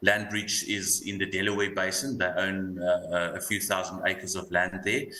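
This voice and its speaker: In an Afrikaans accent, a man speaks at a moderate pace with a very deep, low pitch and monotone, flat intonation over noticeable background noise. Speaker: fund manager. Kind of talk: panel discussion.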